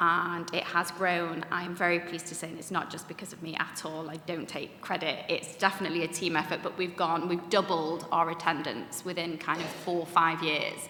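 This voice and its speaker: A woman's fairly low voice with a Mancunian accent, flat and monotone, at a fairly quick clip with hardly any pauses, big swings in loudness, audible room echo and noticeable background noise. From Manchester, northern England. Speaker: Holocaust educator, third generation speaker. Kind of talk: panel discussion talk. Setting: conference room with audience.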